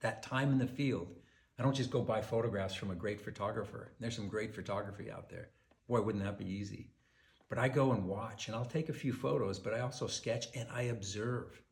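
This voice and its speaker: In a room with audible echo, a man speaks fairly quickly in a somewhat breathy, medium-pitched voice with ordinary pitch variation. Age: 60s. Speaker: wildlife painter. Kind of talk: personal message to collectors. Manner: casual, conversational with fillers.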